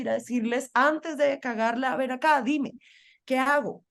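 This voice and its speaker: A woman speaks with a Colombian accent at a high pitch. The background is quiet. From Colombian Caribbean, Barranquilla. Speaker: feminist journalist and activist. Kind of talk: interview conversation.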